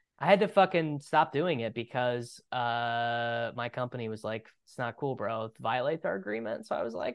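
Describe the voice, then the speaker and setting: A man's normal speaking voice at medium pitch with an American accent, moderate pace, hardly any pauses, ordinary pitch variation and big swings in loudness. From Kansas. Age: 30s. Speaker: fantasy football podcaster. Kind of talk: casual chat.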